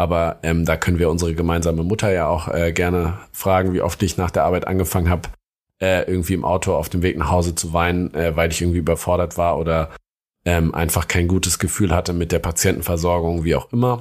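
A man's very deep, low voice at a very fast pace, monotone and flat, with very even loudness and a very clean recording over a silent background. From Hesse, Germany (Darmstadt area). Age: 30s. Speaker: junior doctor. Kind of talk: casual chat.

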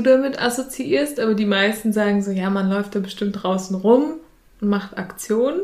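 A plain, everyday voice from a woman, fairly high in pitch, with ordinary pitch variation and a moderate pace. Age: 20s. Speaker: youth participation facilitator. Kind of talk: casual interview. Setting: in an office.

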